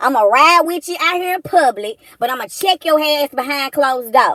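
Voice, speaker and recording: Animated in tone, the speech moves at a fairly quick pace with lively intonation and a dry, close sound with no echo. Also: woman. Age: 40s. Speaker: commentary streamer. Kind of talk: casual rant.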